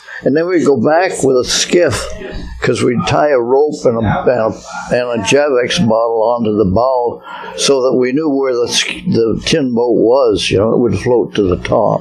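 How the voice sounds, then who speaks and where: Noticeable background noise sits behind a man of medium pitch who speaks at a moderate pace with ordinary pitch variation. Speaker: hardware store owner, storyteller. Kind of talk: interview answer, reminiscing. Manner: casual, hesitant.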